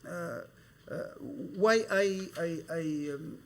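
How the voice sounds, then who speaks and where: A man talks at a very slow pace with audible room echo. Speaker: professor. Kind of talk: lecture. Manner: halting, many hesitations.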